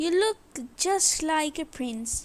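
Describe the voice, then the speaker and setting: In a put-on character voice, a woman speaks extremely high and squeaky. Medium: read story. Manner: proud.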